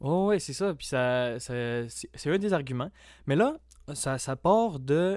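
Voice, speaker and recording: A man at fairly high pitch, with lively intonation, big swings in loudness and a very slow pace, on a very clean recording with a silent background. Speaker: college student association representative. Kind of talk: casual interview chat.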